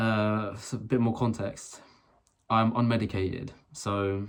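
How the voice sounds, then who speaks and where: On a very clean recording with a silent background, a man speaks with a British accent in a fairly low, monotone, flat voice. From UK. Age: 20s. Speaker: vlogger. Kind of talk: personal rant vlog. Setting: filmed alone to camera. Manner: halting, many fillers and restarts.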